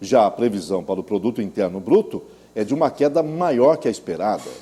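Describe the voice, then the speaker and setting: A man speaks with vocal fry. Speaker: news anchor. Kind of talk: TV news bulletin anchor read.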